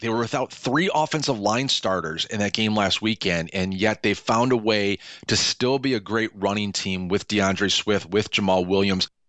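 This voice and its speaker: With an American accent, a man talks in an ordinary speaking voice at a moderate pace, with ordinary pitch variation and hardly any pauses. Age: 40s. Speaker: sports journalist. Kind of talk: radio sports analysis.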